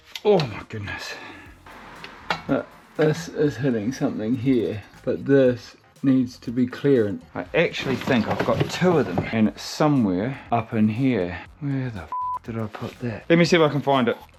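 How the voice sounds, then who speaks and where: Background noise is noticeable throughout. The speaker keeps a moderate speed. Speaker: car builder / mechanic vlogger. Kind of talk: casual workshop vlog. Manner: animated.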